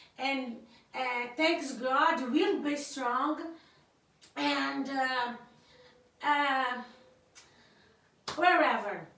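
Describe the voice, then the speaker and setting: Very slow delivery with long, frequent pauses, ordinary pitch variation, audible room echo and noticeable background noise. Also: woman, high pitch for a woman. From Cape Verde. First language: Cape Verdean Creole. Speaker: YouTuber's wife, guest speaker. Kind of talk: casual political commentary to camera. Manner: halting, many fillers and repetitions.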